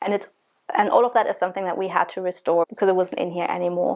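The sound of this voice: This woman has a fairly low pitch and a slightly mellow tone.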